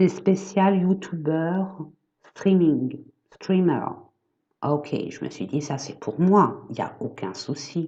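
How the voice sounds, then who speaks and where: A soft-spoken woman talks at a very slow pace, with long, frequent pauses. Her tone is dark and mellow, with ordinary pitch variation. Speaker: energy therapist and medium. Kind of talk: casual vlog chat. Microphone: built-in laptop camera mic.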